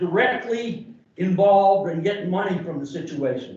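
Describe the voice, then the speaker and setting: A voice with an American accent is heard with audible room echo. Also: man. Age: 70s. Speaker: community member. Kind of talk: public comment. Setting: public meeting. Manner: animated; loud.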